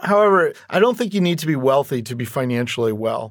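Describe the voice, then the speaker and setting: Here a man talks at a fairly quick pace and medium pitch, in a normal speaking voice. The recording is very clean, with a silent background. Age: 50s. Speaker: retirement expert. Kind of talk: interview.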